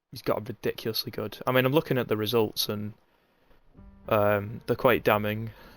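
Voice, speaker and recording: Over music in the background, a man with a northern English accent speaks at a fairly quick pace with fairly even intonation. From Northern England. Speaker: esports race commentator. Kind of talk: live commentary and casual chat with stream chat. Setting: livestream. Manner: casual, halting with fillers.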